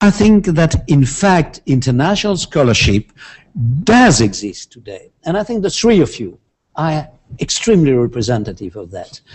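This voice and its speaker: Music plays in the background as a man with a French accent speaks at a moderate pace and a fairly high pitch. His pitch swings very widely, and his loudness shifts a lot. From France. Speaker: international law professor. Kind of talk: interview. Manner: halting.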